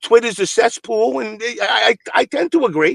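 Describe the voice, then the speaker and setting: In a dry, close recording with no echo, a man speaks in an animated tone with lively intonation. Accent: Brooklyn. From Brooklyn, New York. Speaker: fighting game community commentator. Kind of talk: heated debate.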